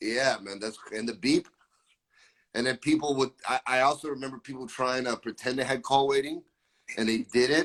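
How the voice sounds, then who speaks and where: A man's plain, everyday voice at medium pitch, in an American accent, with fairly even intonation and a moderate pace. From Florida, Brazilian family. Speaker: musician. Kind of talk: casual chat.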